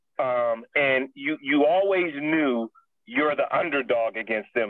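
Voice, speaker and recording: With a plain, everyday voice, a man speaks at a fairly slow pace and fairly high pitch, showing ordinary pitch variation. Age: 40s. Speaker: former pro football player, motivational speaker. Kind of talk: interview. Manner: casual.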